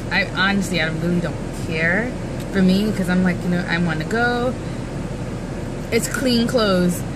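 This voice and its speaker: Loud background noise sits behind the speaker. A woman talks with ordinary pitch variation. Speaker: vlogger. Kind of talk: casual vlog chat. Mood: amused, storytelling, mildly exasperated. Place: car. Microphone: phone near.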